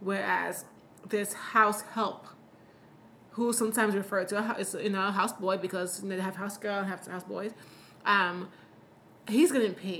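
A bright, sharp tone at a moderate pace, broken by long, frequent pauses. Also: woman, medium pitch for a woman. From Sierra Leone. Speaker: podcast host. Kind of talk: casual chat. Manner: animated, humorous.

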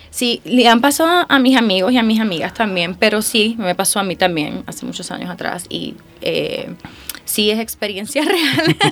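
Against noticeable background noise, a woman with a fairly high pitch speaks with lively intonation. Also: moderate pace. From Puerto Rico. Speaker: singer. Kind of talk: interview. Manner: animated, laughing often.

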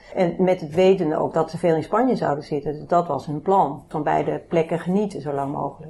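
A woman's very deep, low voice at a fairly quick pace with ordinary pitch variation, over noticeable background noise. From Netherlands, Bennebroek near Haarlem. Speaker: family caregiver. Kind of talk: personal testimony in interview. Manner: halting, many fillers.

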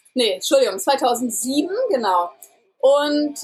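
A woman talks with a high-pitched voice. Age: 30s. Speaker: vegan parenting blogger and congress organizer. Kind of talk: interview.

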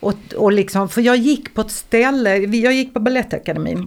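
A woman talks at a moderate pace in an ordinary speaking voice with ordinary pitch variation. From Skåne, Eslöv. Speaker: singer and dancer. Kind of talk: casual chat.

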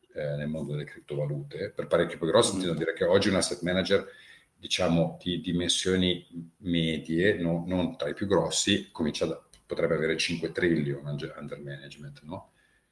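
This man's pitch is very deep and low. His delivery moves at a moderate speed. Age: 50s. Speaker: former fund manager and derivatives trader. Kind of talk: casual chat. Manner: halting.

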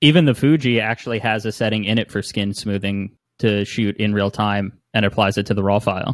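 With an American accent, a man speaks in a plain, everyday voice, fairly low in pitch and fairly even in intonation. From northern New Jersey. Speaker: photographer and musician. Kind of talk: casual chat. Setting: video call.

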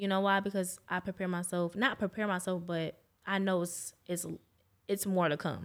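In an American accent, a woman at medium pitch speaks at a fairly quick pace with monotone, flat intonation on a very clean recording with a silent background. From New York. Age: young. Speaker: lash technician. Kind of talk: casual chat. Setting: studio.

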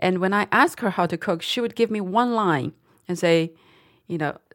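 A woman speaks with a Chinese accent. Her pitch is fairly low. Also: very clean recording, silent background. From Dali, Yunnan, China. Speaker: company founder and author. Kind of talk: interview conversation. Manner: halting, with fillers.

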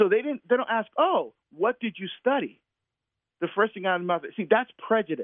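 In an American accent, a man speaks high and fairly quickly with lively intonation. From New Jersey (Newark area). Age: 50s. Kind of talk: interview conversation.

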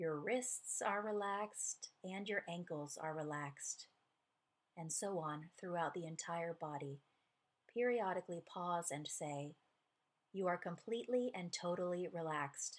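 This woman has an ordinary speaking voice, fairly low in pitch, moving at a fairly slow pace with ordinary pitch variation. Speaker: podcast host narrating a book. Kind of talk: guided meditation read from a book; scripted narration. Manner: slow, calm, soothing, read aloud in a gentle, measured pace with pauses.

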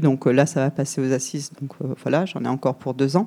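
Here a woman speaks with a dark, mellow tone. Her voice sounds shaky. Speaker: audience member. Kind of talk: testimony. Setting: public event with audience. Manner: trembling voice.

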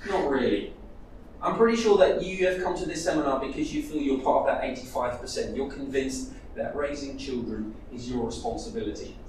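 A man speaks at a moderate pace in a high voice, his pitch swinging very widely. Noticeable background noise and audible room echo fill the recording. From Netherlands. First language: Dutch. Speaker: church leader. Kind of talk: conference seminar talk.

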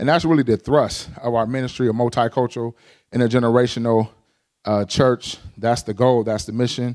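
Talking at a fairly quick pace with an American accent, a man has a medium pitch and an animated tone. The sound is dry and close with no echo, and the recording is very clean with a silent background. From Pasadena, California. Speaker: pastor. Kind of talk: sermon. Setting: church. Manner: straight-talking, animated.

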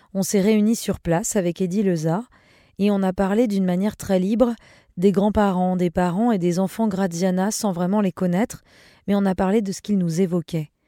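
A woman speaks at a moderate pace with a dark, mellow tone and fairly even intonation, recorded very cleanly against a silent background with a dry, close sound and no echo. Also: medium pitch for a woman. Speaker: podcast host. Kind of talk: scripted narration.

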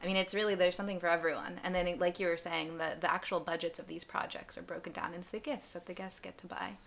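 A fairly low-pitched woman at a very fast pace, with hardly any pauses, big swings in loudness and noticeable background noise. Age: 20s. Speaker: charity founder, former aid volunteer. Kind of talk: casual interview.

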